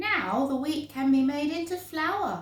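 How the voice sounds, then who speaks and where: A woman puts on a character voice at a high pitch. There is a slight echo. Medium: read story.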